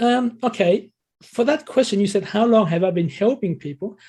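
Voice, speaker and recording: A man's pitch runs high and swings very widely. His tone is dark and mellow. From Thailand. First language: Thai. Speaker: English learning coach. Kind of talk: interview. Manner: hesitant, with fillers.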